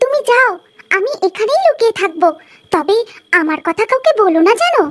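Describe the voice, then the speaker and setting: A woman puts on a cartoonish character voice at an extremely high pitch. She talks at a moderate pace. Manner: teasing.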